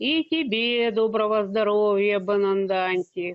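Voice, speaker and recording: A woman does a gruff put-on character voice at a medium pitch, with ordinary pitch variation and a fairly slow pace. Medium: read story. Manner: measured, terse.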